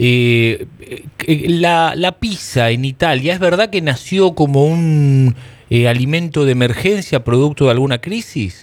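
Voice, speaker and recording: Speaking at a fairly slow pace, a man uses lively intonation and a fairly high pitch. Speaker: radio host. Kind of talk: radio interview.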